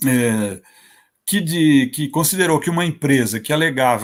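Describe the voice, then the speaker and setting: A man with a fairly high pitch, lively intonation, and a moderate pace. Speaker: judge. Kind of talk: panel talk at online seminar. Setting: online event. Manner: halting, with false starts.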